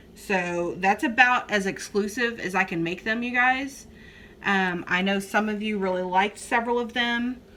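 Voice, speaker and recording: Speaking at a moderate pace with a South Texas accent, a woman uses a bright, sharp tone at medium pitch with ordinary pitch variation. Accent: Southern Texas. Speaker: crafting YouTuber. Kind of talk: casual chat.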